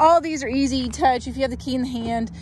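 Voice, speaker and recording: A woman speaks with a high pitch. There is noticeable background noise behind her. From US South. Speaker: car seller. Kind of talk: vehicle walkaround video. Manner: hesitant, many fillers.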